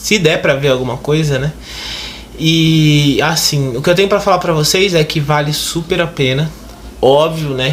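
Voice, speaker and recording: A man's fairly high voice at a fairly slow pace, with noticeable background noise and audible room echo. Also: fairly even intonation. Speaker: YouTuber. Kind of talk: casual vlog.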